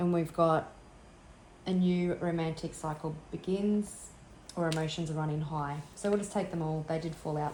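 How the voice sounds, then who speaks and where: Noticeable background noise sits behind a woman with a fairly low pitch who talks at a moderate pace with ordinary pitch variation. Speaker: tarot reader. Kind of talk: tarot reading.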